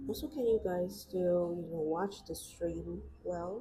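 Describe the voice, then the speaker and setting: The woman's delivery is fairly slow. Music sounds behind her. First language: Vietnamese. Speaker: artist YouTuber. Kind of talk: casual chat while drawing on a livestream. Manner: hesitant, with fillers and restarts.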